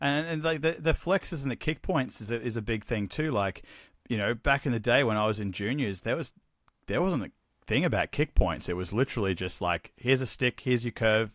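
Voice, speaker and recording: A medium-pitched man with an Australian accent, fairly quick and lively, on a very clean recording with a silent background and a dry, close sound with no echo. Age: 40s. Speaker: hockey gear business owner. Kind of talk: casual chat. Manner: animated.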